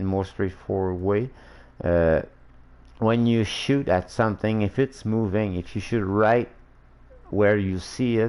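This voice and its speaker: Fairly slow speech in a non-native accent, fairly even intonation, and long, frequent pauses. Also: man, fairly low pitch for a man. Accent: non-native English, slurred-sounding. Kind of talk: casual game-dev livestream tutorial. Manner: hesitant, many fillers.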